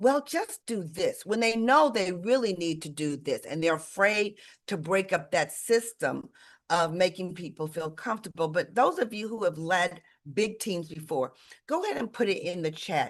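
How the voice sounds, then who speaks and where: The pace is moderate. A woman speaks with lively intonation. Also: medium pitch for a woman. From Detroit, Michigan. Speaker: sales leadership coach. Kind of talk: live webinar coaching talk. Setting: livestream video call. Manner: loud; energetic.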